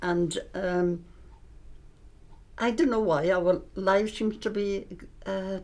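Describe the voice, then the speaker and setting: A woman with a Welsh accent speaks at a medium pitch with fairly even intonation. Her pace is very slow, with long, frequent pauses. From Wales, Aberystwyth area. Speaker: retired shop worker. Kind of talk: casual reminiscing interview. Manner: halting.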